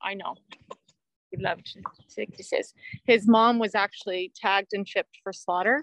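Speaking at a moderate pace with an American accent, a woman uses a medium pitch and fairly even intonation, her loudness swinging widely and her long pauses coming often. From California. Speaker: horse rescue founder. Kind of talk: interview. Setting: video call, walking around her property.

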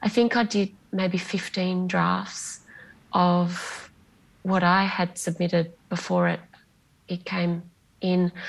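A woman speaks very slowly in an Australian accent, with long, frequent pauses. Her fairly low voice is somewhat breathy and her intonation monotone and flat. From Bunbury, Western Australia. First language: Greek. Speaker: novelist. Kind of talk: interview. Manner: hesitant, with fillers.

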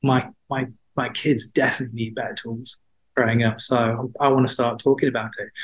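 Somewhat breathy, a man talks at a fairly quick pace and a medium pitch. His intonation is monotone and flat. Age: 50s. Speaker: mental health platform founder, former journalist. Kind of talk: interview.

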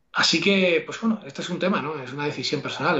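A man speaks at a fairly quick pace in a normal speaking voice with ordinary pitch variation. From Andalusia, Seville province. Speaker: entrepreneur and investor. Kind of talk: interview.

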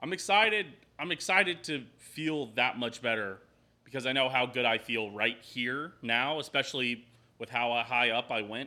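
At a moderate pace, a man with a medium pitch and a bright, sharp tone speaks with lively intonation and big swings in loudness on a very clean recording with a silent background. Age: 20s. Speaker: podcast host and streamer. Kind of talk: casual chat.

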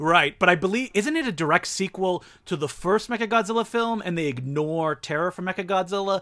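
On a very clean recording with a silent background, a man speaks in a high pitch at a fairly quick pace with hardly any pauses and ordinary pitch variation. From Ontario, Canada (Franco-Ontarian). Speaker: filmmaker and film critic. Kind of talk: casual chat.

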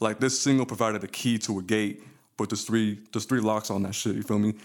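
The recording is very clean, the background silent. It is a plain, everyday voice. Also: man. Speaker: podcast co-host. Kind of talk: casual chat.

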